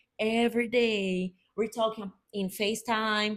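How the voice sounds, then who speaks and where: Speaking at a very slow pace, a woman has a Brazilian Portuguese accent. The recording is very clean with a silent background. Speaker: podcast co-host. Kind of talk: casual chat.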